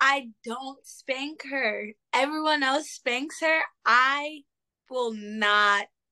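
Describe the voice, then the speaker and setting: A woman speaks very slowly in a raised, projected voice, high in pitch, with a bright, sharp tone and lively intonation. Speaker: single mother. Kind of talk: casual chat.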